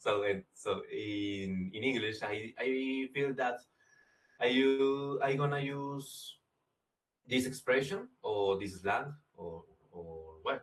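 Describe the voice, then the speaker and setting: With a Colombian accent and a somewhat breathy voice, a man speaks at a very slow pace with lively intonation. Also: medium pitch for a man. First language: Spanish. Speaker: English language student. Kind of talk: class discussion. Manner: halting.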